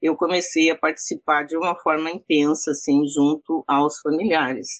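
Recorded with a dry, close sound and no echo, a woman with a very deep, low pitch speaks at a fairly slow pace. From southern Brazil, Rio Grande do Sul. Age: 60s. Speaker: activist, relative of a disappeared political prisoner. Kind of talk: interview.

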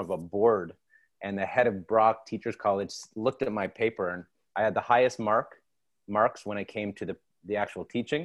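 A man with a Canadian accent uses a normal speaking voice at a fairly low pitch, talking at a fairly quick pace with fairly even intonation in a very clean recording with a silent background. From Canada, Toronto. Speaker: former teacher and TV producer. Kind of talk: interview.

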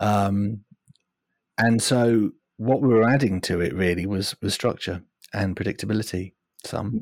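A fairly low-pitched man with a British accent, fairly slow pace, long, frequent pauses and ordinary pitch variation, in a dry, close sound with no echo. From United Kingdom. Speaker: agile coach. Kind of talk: casual interview chat. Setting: remote call from overseas.

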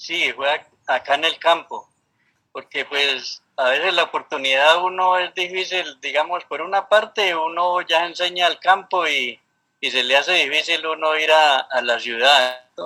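A man's high-pitched voice at a fairly slow pace. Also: ordinary pitch variation. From Colombia, Valle del Cauca (rural Cali). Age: 60s. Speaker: park ranger. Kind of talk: interview. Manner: halting, with frequent repetitions.

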